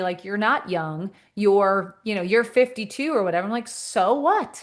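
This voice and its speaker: Animated in tone, a woman with a medium pitch talks at a fairly quick pace. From Canada, Montreal. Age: 50s. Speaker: social media comedian. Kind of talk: casual chat.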